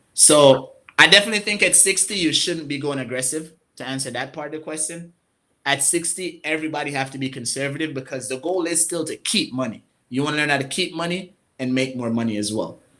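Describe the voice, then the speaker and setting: A man's fairly high, bright and sharp voice at a very fast pace with ordinary pitch variation. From Jamaica. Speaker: financial coach and market analyst. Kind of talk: interview.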